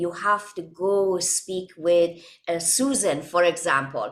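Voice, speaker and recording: At a fairly slow pace, this woman's pitch shifts in an ordinary way. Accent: non-native. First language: not English. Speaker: holistic wellness coach. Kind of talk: interview. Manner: halting, many fillers.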